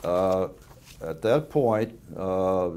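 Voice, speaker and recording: With an American accent, a man speaks in a fairly low pitch and a dark, mellow tone. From US South. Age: 80s. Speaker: war veteran. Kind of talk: oral history interview. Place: home room. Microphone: lapel.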